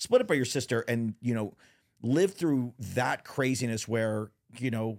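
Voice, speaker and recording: With an American accent, a man talks at a medium pitch. The recording is very clean and the background silent. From Texas. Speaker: podcast host and TV producer. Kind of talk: casual interview chat. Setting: live recording in a lounge studio. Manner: animated.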